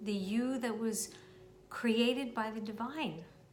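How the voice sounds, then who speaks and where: A woman's fairly high voice at a very slow pace, over background music. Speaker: meditation guide. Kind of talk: guided meditation.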